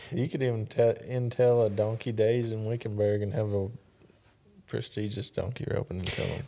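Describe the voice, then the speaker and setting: A man speaks in an East Texas accent. His tone is dark and mellow, at a moderate pace. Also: medium pitch for a man, fairly even intonation. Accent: East Texas Southern. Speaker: rodeo announcer and arena manager. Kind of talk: casual chat. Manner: reserved.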